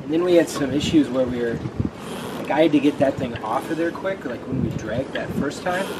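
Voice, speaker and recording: A man talks at a very fast pace with ordinary pitch variation over noticeable background noise. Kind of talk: casual vlog chat. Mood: upbeat, excited. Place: waterside.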